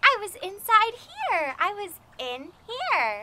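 A woman speaks in an extremely high pitch, her voice raised and projected with an upbeat tone. The sound is dry with no echo, and background noise is noticeable. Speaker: preschool music teacher. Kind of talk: children's educational show host talk. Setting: outdoors. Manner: upbeat, slow, exaggerated and clear for toddlers. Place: garden.

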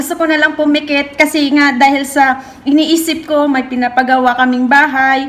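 A woman speaks fairly slowly at a high pitch with monotone, flat intonation. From Philippines. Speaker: overseas worker vlogger. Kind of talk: advice vlog monologue. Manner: halting. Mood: warm, earnest, smiling. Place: home room. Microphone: phone near.

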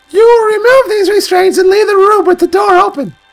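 A put-on character voice, squeaky and extremely high-pitched, at a fairly quick pace. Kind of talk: reading game dialogue aloud in character. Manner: high girly voice.

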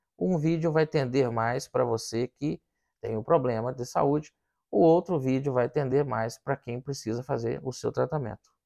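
Dark, mellow tone from a man, quiet background behind him. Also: ordinary pitch variation, moderate pace. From Brazil. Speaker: physician, hematologist; presenter. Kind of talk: health education talk to camera. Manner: casual, with many filler words. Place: studio. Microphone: lapel.

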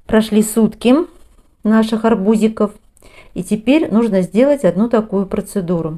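Against a quiet background, a woman with a fairly high pitch and a dark, mellow tone talks at a fairly slow pace, leaving long, frequent pauses. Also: ordinary pitch variation. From rural Russia. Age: 50s. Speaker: gardening vlogger. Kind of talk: tutorial. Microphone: phone near.

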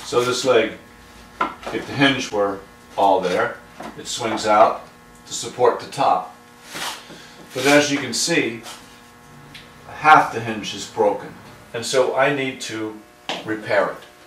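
Over noticeable background noise, a man speaks at a fairly slow pace with big swings in loudness and long, frequent pauses. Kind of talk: tutorial. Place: workshop.

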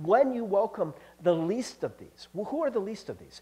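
With an American accent, a man speaks at a moderate pace in a dark, mellow tone. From US Midwest, Cincinnati; Ohio. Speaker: pastor. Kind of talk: sermon. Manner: casual, halting with fillers. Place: church. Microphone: headset.

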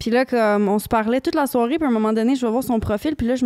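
Her voice has a dark, mellow tone and sits at fairly high pitch for a woman. The background is quiet. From Quebec. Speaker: podcast guest, recovered addict; podcast guest. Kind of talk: casual interview chat. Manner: halting. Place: studio. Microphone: handheld.

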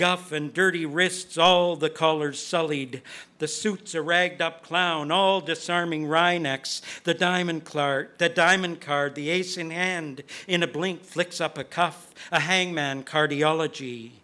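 A man speaks at a fairly slow pace with a high pitch. His tone is bright and sharp. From Canada. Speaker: sound poet. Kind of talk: poetry reading. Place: hall. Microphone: podium.

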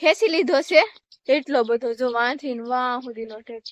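A woman's high voice with a Kathiawar accent and ordinary pitch variation, dry and close with no echo. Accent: Kathiawadi Gujarati. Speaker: village vlogger. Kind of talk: casual vlog narration. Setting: outdoors.

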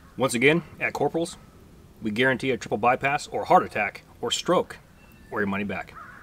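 The man talks at a fairly quick pace, and the sound is dry with no echo. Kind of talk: casual vlog chat. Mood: relaxed, joking. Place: forest. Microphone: camera far.

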